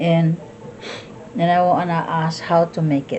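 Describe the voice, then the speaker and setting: At a very slow pace, a woman with a Visayan Filipino accent speaks in a fairly low pitch. Background noise is noticeable. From Philippines (Visayas). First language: Cebuano (Bisaya). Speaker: cooking vlogger. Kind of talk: cooking tutorial. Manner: halting, many restarts.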